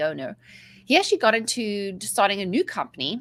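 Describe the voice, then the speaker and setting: The speaker is a woman with a South African accent. She talks at a moderate speed. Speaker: mindset coach. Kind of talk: interview. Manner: talkative.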